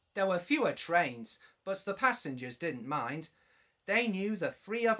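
A natural reading voice with lively intonation is heard, and the background is quiet.

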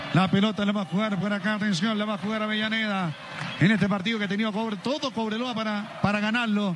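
Through noticeable background noise, a man talks at a very fast pace with a high pitch. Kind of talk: live radio sports commentary. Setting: radio broadcast from stadium. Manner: fast, breathless play-by-play delivery; animated, excitable.

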